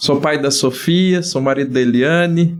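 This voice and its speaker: With a plain, everyday voice, a man talks at a fairly slow pace with fairly even intonation. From Brazil, Dourados, Mato Grosso do Sul. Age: 40s. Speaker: geographer and teacher. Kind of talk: podcast interview.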